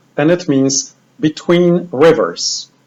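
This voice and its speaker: A man with a Polish accent, at a very slow pace, with ordinary pitch variation. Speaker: bible teacher. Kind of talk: lecture.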